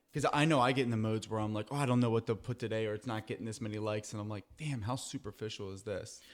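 A man with an American accent talks at a very fast pace, with hardly any pauses, fairly even intonation and a medium pitch, on a very clean recording with a silent background. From Philadelphia area. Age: 30s. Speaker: podcast host. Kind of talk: interview.

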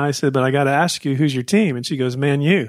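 In an ordinary speaking voice, a man talks at a fairly high pitch with fairly even intonation over a very clean recording and a silent background. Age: 50s. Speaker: podcast host. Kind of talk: interview.

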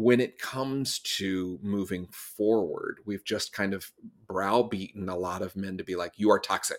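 In a plain, everyday voice, a man speaks with an American accent at a fairly low pitch, with fairly even intonation and a fairly slow pace. The recording is very clean, with a silent background. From US Southeast. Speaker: speaker and consultant. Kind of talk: interview conversation.

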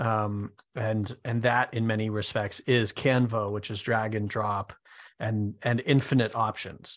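Here a man talks in a fairly low pitch at a fairly slow pace. His intonation is monotone and flat. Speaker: software developer and co-host. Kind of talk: casual business discussion.

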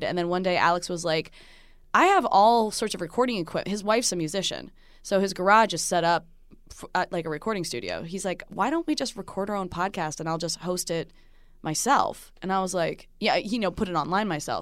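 Fairly quick delivery with ordinary pitch variation, in an American accent. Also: woman. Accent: Jersey accent, stronger when drinking. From New Jersey. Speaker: TV host and podcaster. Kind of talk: casual chat. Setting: studio.

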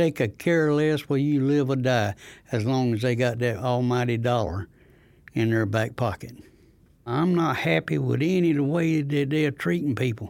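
In a very clean recording with a silent background, a man with a Southern US accent speaks at a moderate pace and medium pitch, with lively intonation and very even loudness. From North Carolina, near Goldsboro. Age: 70s. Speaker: community activist. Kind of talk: testimony.

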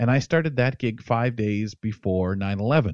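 In an ordinary speaking voice with a Canadian accent, the speech moves at a moderate pace with ordinary pitch variation, sounding dry and close with no echo against a quiet background. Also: man. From London, Ontario, Canada. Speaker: radio host. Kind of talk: casual interview. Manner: humorous, chatty.

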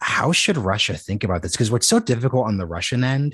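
Over a quiet background, a man's somewhat breathy voice moves at a fairly quick pace with lively intonation, recorded dry and close with no echo. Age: 20s. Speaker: podcast host. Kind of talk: interview. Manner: rambling, halting.

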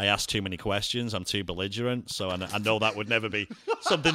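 Over noticeable background noise, a man with an American accent and a medium pitch speaks at a very fast pace. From northern England, between Manchester and Liverpool. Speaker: bar owner. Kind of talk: casual interview chat.

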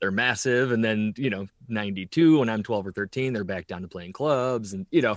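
In an unremarkable speaking voice, a man talks at a fairly quick pace with hardly any pauses, fairly low pitch and ordinary pitch variation, the sound dry and close with no echo. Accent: American. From northern Illinois, US Midwest. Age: 40s. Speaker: rock drummer. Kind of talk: casual interview chat. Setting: remote call.

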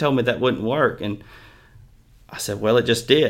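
A man with a Mississippi accent. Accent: Mississippi Southern. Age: 20s. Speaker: horse trainer. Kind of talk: casual interview chat.

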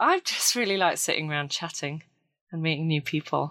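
A woman speaks with a British accent at a very deep, low pitch. Her pace is moderate, on a very clean recording with a silent background. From Britain. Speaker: ceramic artist and volunteer. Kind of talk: casual interview.

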